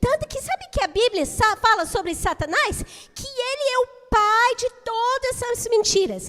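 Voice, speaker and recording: With an extremely high pitch and lively intonation, a woman talks at a very slow pace. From United States. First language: English (speaking Portuguese). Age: 60s. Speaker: children's teacher. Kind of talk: children's talk in church service. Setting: church.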